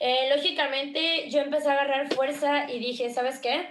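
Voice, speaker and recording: The speaker has a Veracruz accent and a fairly slow pace, with noticeable background noise and audible room echo. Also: woman. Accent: Veracruz Mexican Spanish. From Mexico, Veracruz. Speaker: streamer and content creator. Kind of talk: interview.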